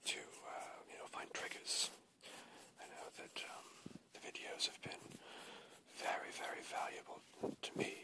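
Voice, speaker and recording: Everything is whispered, and the delivery is fairly slow. Pauses are long and come frequently. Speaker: ASMR creator. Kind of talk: ASMR whispered rambling to camera.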